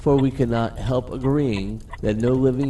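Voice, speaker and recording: At a very slow pace, a man talks over noticeable background noise. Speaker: narrator. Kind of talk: poetry reading.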